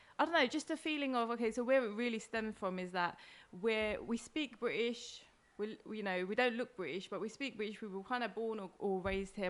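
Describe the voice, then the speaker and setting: A woman with an East London accent speaks at a fairly quick pace, her fairly high voice full of lively intonation. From East London, England. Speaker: comedian and podcaster. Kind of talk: casual interview chat. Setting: host's kitchen.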